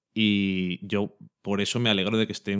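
An ordinary speaking voice goes at a moderate pace with fairly even intonation. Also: man. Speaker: podcast co-host. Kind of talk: casual chat.

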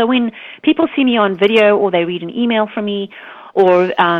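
A woman speaks at a fairly quick pace, her medium pitch showing ordinary pitch variation.

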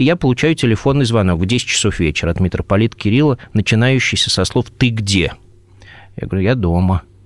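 The sound is dry and close, with no echo. A man speaks at a moderate pace and a fairly low pitch. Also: long, frequent pauses. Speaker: Orthodox archpriest. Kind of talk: radio interview.

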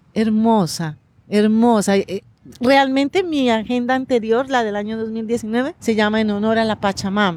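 A woman speaks at a fairly high pitch and a fairly slow pace, with ordinary pitch variation. It is an ordinary speaking voice. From Colombia, Pasto (Nariño, Andean region). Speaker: agenda author. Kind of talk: interview. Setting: outdoors in a park.

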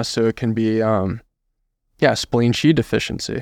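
A man's medium-pitched voice with an American accent, on a very clean recording with a silent background. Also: dry, close sound with no echo. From California (Modesto, Central Valley). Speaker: acupuncturist. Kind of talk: interview. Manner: halting, many fillers.

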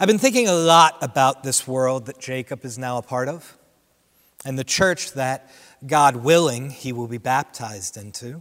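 Talking with an ordinary speaking voice, a man keeps a moderate pace and medium pitch, his pitch varying in an ordinary way while his loudness swings widely. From Central New Jersey. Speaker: associate pastor. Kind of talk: sermon. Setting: church without congregation.

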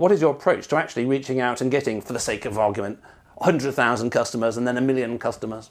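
Speaking very fast with a British accent, a man keeps a medium pitch and ordinary pitch variation. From Britain. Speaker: podcast host. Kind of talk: interview.

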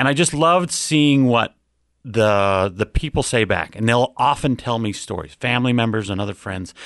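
Over a quiet background, an unremarkable speaking voice with an American accent carries lively intonation. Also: man, medium pitch for a man, moderate pace. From Ogden, Utah. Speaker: podcast guest, longtime listener. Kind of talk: casual chat; news reading.

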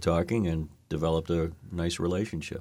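This is a man speaking with an American accent. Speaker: podcast host. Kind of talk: interview.

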